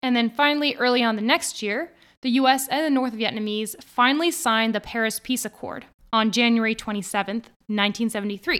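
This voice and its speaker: Using an ordinary speaking voice, a woman talks at a fairly quick pace with fairly high pitch and ordinary pitch variation. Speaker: podcast host. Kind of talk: history documentary narration, scripted and read aloud.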